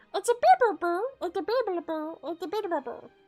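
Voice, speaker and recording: In a put-on character voice at an extremely high pitch, the speaker goes at a moderate pace while faint music plays in the background. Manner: playful.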